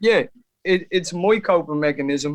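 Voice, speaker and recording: A man with an Irish accent and ordinary pitch variation. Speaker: rapper. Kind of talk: interview answer.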